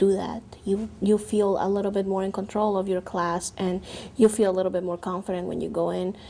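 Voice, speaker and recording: A woman with a non-native accent speaks at medium pitch in a dark, mellow tone. Her intonation is monotone and flat. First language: not English. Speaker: university transfer student. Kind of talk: testimony.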